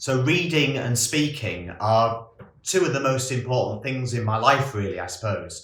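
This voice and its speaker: Lively intonation marks this man's ordinary speaking voice. He keeps a moderate pace at a medium pitch. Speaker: monk. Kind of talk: casual talk to camera.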